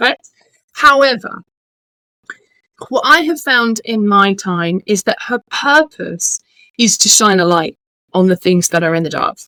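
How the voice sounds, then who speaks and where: Speaking fairly slowly with long, frequent pauses, a woman with a British accent uses a fairly high pitch, very wide pitch swings and a bright, sharp tone, the sound dry and close with no echo. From United Kingdom. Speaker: holistic business coach. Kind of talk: podcast interview.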